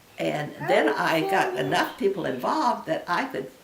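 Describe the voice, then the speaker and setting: Noticeable background noise sits behind a woman speaking fairly slowly with an American accent. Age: 80s+. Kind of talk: interview answer.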